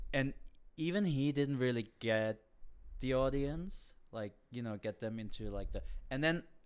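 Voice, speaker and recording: The recording is very clean, with a silent background. A man speaks with a German accent at a medium pitch. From Germany. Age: 30s. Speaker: comedian. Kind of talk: casual chat.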